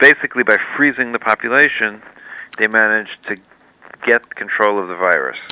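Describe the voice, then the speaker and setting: In an unremarkable speaking voice, a man talks at a fairly quick pace with fairly low pitch and ordinary pitch variation. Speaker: historian and author. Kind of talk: interview on current affairs. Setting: remote call from Israel.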